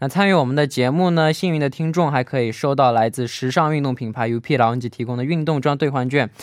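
A man talks at a very fast pace with hardly any pauses. His pitch sits fairly high. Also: ordinary pitch variation. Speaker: radio host. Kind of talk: radio show, casual chat.

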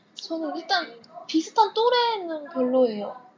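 A woman with a high voice and very wide pitch swings, talking very slowly over noticeable background noise. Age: 20s. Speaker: guest seeking advice. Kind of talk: casual chat. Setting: library.

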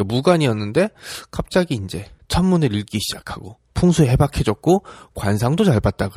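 Very wide pitch swings from a man at a medium pitch, fairly quick in pace, on a very clean recording with a silent background. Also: dry, close sound with no echo. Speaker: history podcast host. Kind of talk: casual history storytelling. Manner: conversational, chatty.

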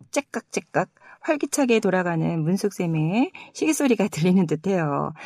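At a moderate pace, a woman with a medium pitch and a dark, mellow tone makes very wide pitch swings, in a dry, close sound with no echo. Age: 50s. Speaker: podcast host. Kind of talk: casual chat.

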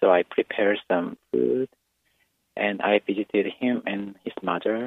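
At a fairly slow pace, a man with a Korean accent talks in a fairly low voice with ordinary pitch variation. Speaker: English teacher. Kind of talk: radio call-in chat. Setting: phone call.

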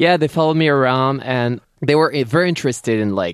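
A man with a French accent at a moderate pace. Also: quiet background. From France, Paris. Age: 30s. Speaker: TV personality and cookbook author. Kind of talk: casual interview.

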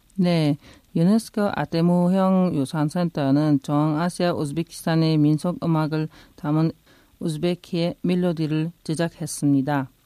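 Dark and mellow in tone, the voice moves at a fairly slow pace with fairly even intonation and very even loudness, sounding dry and close with no echo on a very clean recording with a silent background. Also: woman, fairly low pitch for a woman. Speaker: migrant news correspondent. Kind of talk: news reading.

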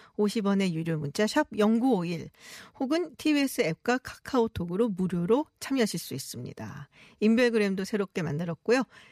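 With a dry, close sound and no echo, a woman talks at a moderate pace in a medium pitch with very wide pitch swings. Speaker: radio host. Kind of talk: radio news talk show. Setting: radio studio.

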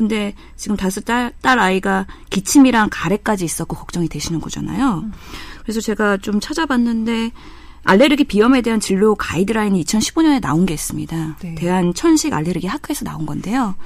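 A woman with an ordinary speaking voice talks at a medium pitch and a fairly quick pace, her intonation lively. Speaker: medical doctor. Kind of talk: medical advice chat.

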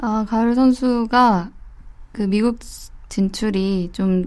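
Medium-pitched female speech, ordinary in its pitch variation, on a very clean recording with a silent background. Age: 20s. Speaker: football reporter, panelist. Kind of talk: casual chat.

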